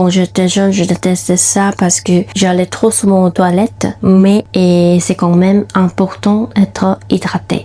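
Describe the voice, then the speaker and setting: A woman with a Korean accent speaks fairly slowly in a somewhat breathy, dark, mellow voice of medium pitch and fairly even intonation. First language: Korean (speaking French). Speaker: lifestyle vlogger and food content creator. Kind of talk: vlog voiceover. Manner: halting non-native phrasing.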